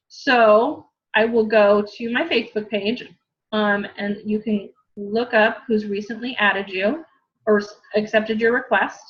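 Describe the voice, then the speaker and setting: A woman with an American accent speaks at a fairly slow pace in a somewhat breathy voice, fairly high in pitch with ordinary pitch variation. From US West, Southern California. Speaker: fitness coach. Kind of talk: tutorial.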